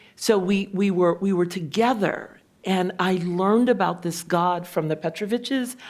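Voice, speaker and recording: In an ordinary speaking voice, a woman with an American accent talks at a moderate pace, her pitch medium with ordinary variation. The recording is very clean, with a silent background. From US Midwest, East Chicago, Indiana. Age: 60s. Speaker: pastor. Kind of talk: panel discussion, personal story. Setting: stage with live audience.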